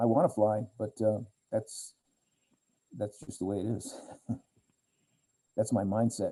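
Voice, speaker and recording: Fairly slow and with long, frequent pauses, a man speaks in a somewhat breathy, dark, mellow voice at a fairly low pitch with fairly even intonation. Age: 60s. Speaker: pilot, accident survivor speaker. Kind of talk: webinar Q&A. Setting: video call. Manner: repetitive, stammering restarts.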